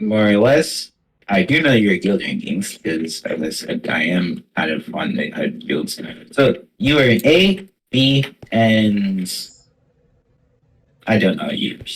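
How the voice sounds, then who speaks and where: A man puts on a character voice at medium pitch, swinging very widely up and down. He talks at a fairly slow pace with long, frequent pauses. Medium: audio drama. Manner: hedging, says "more or less".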